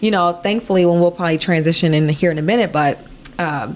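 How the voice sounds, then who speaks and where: A woman speaks with an American accent and a fairly low pitch. Noticeable background noise runs underneath. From Chicago area, Illinois. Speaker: nonprofit founder and businesswoman. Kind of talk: casual interview. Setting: apartment.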